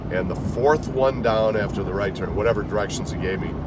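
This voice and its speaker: Noticeable background noise sits behind a man with a fairly low pitch and ordinary pitch variation. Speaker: voice artist; former radio disc jockey. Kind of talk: casual storytelling to camera. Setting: in a car.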